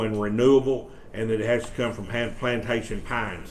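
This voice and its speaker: A man with a Mississippi accent speaks at a fairly quick pace and medium pitch, his intonation monotone and flat. Noticeable background noise and audible room echo surround him. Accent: US Southern (Mississippi). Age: 60s. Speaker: economic development official. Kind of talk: presentation to a county board. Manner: halting, many fillers and repeats.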